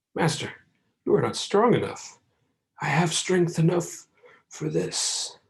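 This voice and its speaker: A man puts on a character voice that sounds strained and high in pitch. He goes at a fairly slow pace, with long, frequent pauses. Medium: read story. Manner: strained, impatient.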